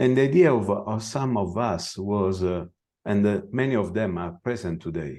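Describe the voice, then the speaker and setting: With an Italian accent, a man speaks fairly slowly in a fairly low voice, his intonation lively. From Italy. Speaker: veterinary scientist. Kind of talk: conference presentation. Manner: halting.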